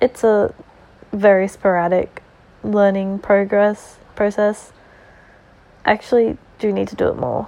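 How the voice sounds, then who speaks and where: Speaking with an Australian accent at a medium pitch, a woman leaves long, frequent pauses, her intonation monotone and flat while her loudness swings widely. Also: fairly slow pace. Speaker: podcaster. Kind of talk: casual monologue. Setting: lying in bed at home. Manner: rambling, with fillers and laughs.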